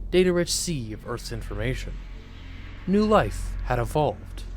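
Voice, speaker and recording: Music plays in the background as a man speaks at a moderate pace, with big swings in loudness and long, frequent pauses. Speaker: voice actor. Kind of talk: video game narration.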